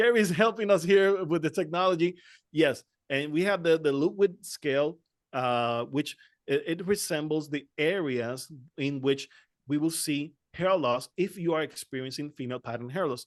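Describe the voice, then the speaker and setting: A man with a Spanish accent speaks at a moderate pace and fairly high pitch. His pitch varies in an ordinary way against a quiet background. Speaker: trichologist. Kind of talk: panel discussion. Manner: halting.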